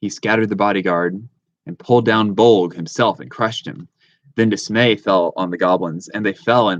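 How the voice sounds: A natural reading voice sounds against a quiet background.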